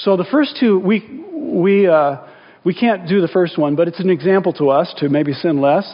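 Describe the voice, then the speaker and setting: Noticeable background noise sits behind a man whose high-pitched voice carries lively intonation. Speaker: pastor. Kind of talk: sermon. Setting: church. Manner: earnest, intimate, slow prayer voice.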